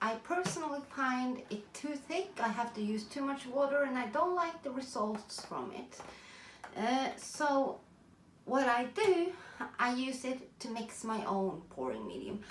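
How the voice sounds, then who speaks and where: Speaking fairly slowly in a Norwegian accent, a woman with a high voice uses lively intonation amid audible room echo and noticeable background noise. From Norway. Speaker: artist. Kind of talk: tutorial. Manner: halting.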